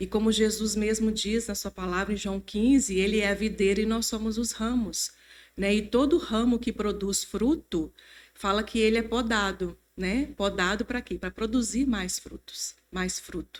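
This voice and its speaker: The speaker uses a normal speaking voice, talking at a fairly slow pace with fairly even intonation. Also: woman, fairly high pitch for a woman. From Brazil, Mantena (Minas Gerais). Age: 50s. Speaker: church member sharing testimony. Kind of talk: testimony.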